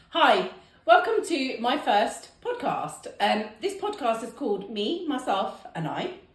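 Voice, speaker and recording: A high-pitched woman with a British accent, very slow pace and very wide pitch swings, in audible room echo. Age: 40s. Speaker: podcast host. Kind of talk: casual chat. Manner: animated.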